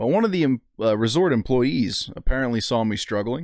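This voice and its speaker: A man talks at a fairly quick pace, captured on a very clean recording with a silent background. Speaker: outdoors vlogger, fisherman. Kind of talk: casual vlog narration. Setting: editing at home, voiceover; outdoors on a beach at sunrise. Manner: quiet, keeping voice down.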